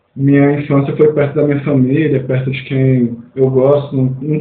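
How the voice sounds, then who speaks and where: The man's pitch sits fairly high. His intonation is monotone and flat, and audible room echo fills the space. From Minas Gerais, Mucuri Valley, rural. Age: 20s. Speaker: student, researcher and cultural producer. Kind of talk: podcast interview.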